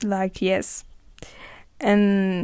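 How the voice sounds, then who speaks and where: A woman with a French accent, in a very clean recording with a silent background. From France. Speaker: podcaster. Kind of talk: casual monologue. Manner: halting.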